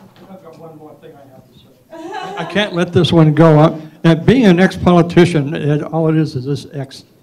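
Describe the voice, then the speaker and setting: The delivery runs at a moderate pace with hardly any pauses and fairly even intonation, but big swings in loudness. Noticeable background noise is audible. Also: man, high pitch for a man. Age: 80s+. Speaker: former city commissioner. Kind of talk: public comment at council meeting. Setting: city commission meeting. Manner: halting.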